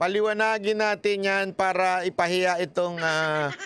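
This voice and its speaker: A man with a high pitch speaks at a fairly slow pace, with ordinary pitch variation. The sound is dry with no echo, over light background noise. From Philippines. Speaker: news commentator. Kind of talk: heated political commentary, angry rant. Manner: rhetorical questions, mocking. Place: studio. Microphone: studio mic.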